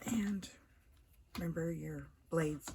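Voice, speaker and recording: There is noticeable background noise behind this woman. Her voice sits very deep and low, with lively intonation. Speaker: craft demonstrator. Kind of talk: tutorial. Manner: casual.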